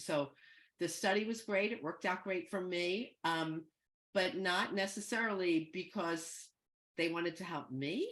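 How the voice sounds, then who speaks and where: A woman speaks in a normal speaking voice with an American accent. Her pitch varies in an ordinary way, and her pace is fairly slow. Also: medium pitch for a woman. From US Northeast, Philadelphia. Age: 60s. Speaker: guest speaker, psychedelics educator. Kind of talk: talk to an online group. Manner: conversational, with many fillers.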